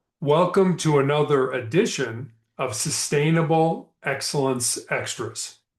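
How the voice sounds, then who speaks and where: Against a quiet background, a somewhat breathy man with a fairly high pitch speaks at a fairly slow pace with ordinary pitch variation. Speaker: motivational speaker and author. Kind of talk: motivational leadership talk. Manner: slow, deliberate.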